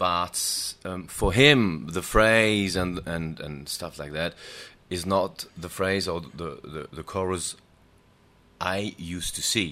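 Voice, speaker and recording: Very slowly, a man speaks in a very deep, low voice with a bright, sharp tone, ordinary pitch variation and big swings in loudness, on a very clean recording with a silent background. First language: German. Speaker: singer. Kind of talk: casual chat. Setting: studio. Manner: halting.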